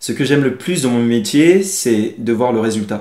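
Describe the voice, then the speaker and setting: A man is speaking. His tone is dark and mellow. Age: 30s. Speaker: fashion designer. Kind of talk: crowdfunding pitch interview. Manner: hesitant, frequent fillers.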